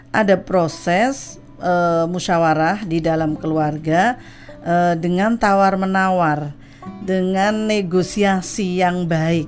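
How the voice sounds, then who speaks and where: A woman speaks with a fairly low pitch. Music plays in the background. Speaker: Islamic religious counselor and talk show guest. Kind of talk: radio talk show explanation on family problem solving.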